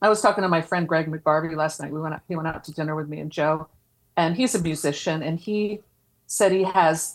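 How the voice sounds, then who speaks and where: A woman speaks in a Philadelphia accent. Her pitch is fairly low and her intonation fairly even. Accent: Philadelphia American. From Philadelphia area, US. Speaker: podcast host and horror zine editor. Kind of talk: casual chat.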